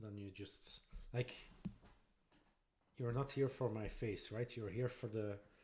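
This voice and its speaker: A man's somewhat breathy, dark, mellow voice at a fairly slow pace, with ordinary pitch variation. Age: 40s. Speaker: Lego builder streamer. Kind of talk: casual live-stream chat while building. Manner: relaxed, chill.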